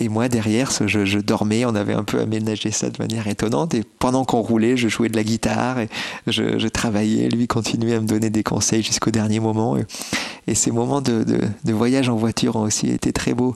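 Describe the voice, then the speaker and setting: A man's fairly low voice, with ordinary pitch variation, moves at a moderate speed as noticeable background noise runs underneath. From France, Bordeaux. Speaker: classical guitarist. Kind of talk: interview. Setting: his living room.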